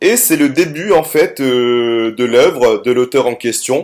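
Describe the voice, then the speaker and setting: Ordinary pitch variation marks this man's speech. The recording is very clean, with a silent background. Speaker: middle school teacher. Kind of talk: recorded lesson. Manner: hesitant with many fillers.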